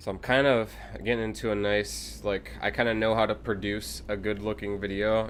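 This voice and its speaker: A man's fairly low voice with an American accent, vocal fry, ordinary pitch variation, and a fairly quick pace. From Ohio, US Midwest. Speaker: gaming streamer. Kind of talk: live stream commentary while gaming. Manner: casual, halting with fillers.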